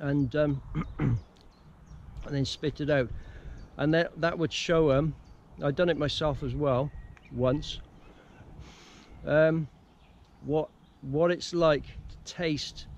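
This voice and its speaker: A man speaks very slowly with fairly even intonation and long, frequent pauses. The sound is dry, with no echo. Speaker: bushcraft instructor. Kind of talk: casual vlog chat. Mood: relaxed, anecdotal, laughs. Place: open country. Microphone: phone near.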